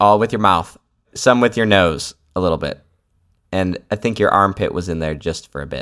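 Recorded very cleanly against a silent background, a man with a fairly low pitch has an unremarkable speaking voice and ordinary pitch variation. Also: moderate pace. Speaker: podcast host. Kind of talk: casual banter. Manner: joking, playful.

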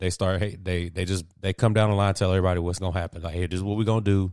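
A man talks in an animated tone at a very deep, low pitch. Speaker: sports podcast host. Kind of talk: casual banter. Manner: animated, bantering.

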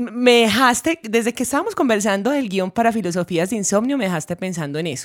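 Speaking at a very fast pace with hardly any pauses, a woman with a fairly high pitch sounds animated, her intonation lively. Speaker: podcast co-host, musician. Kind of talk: casual chat.

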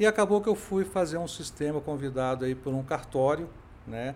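Speech comes at a moderate pace. It is a plain, everyday voice. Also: man. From Brasília, Brazil. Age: 50s. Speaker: tech entrepreneur. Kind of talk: interview.

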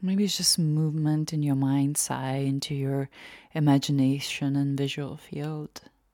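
Slow-paced and monotone, a woman with a very deep, low pitch speaks in a dark, mellow, gentle and soothing tone, keeping her intonation flat and her pace fairly slow. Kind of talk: guided meditation. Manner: slow, soft-spoken, unhurried with long pauses; gentle, soothing, inviting.

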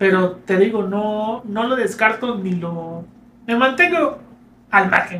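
A man's raised, projected voice, high-pitched and at a very slow pace, with a Mexican accent. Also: ordinary pitch variation. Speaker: podcast co-host. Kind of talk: casual chat.

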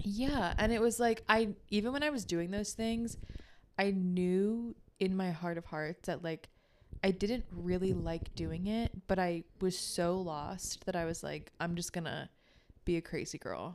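This woman has a normal speaking voice and an American accent, talking at a fairly slow pace with medium pitch and ordinary pitch variation. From Baltimore suburbs, Maryland. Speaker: podcast co-host, wellness healer. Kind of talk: casual chat.

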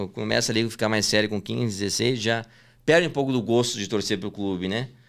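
On a very clean recording with a silent background, a man speaks at a fairly quick pace. He has an unremarkable speaking voice with ordinary pitch variation. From southern Brazil, Porto Alegre. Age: 20s. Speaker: sports betting tipster. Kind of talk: casual interview.

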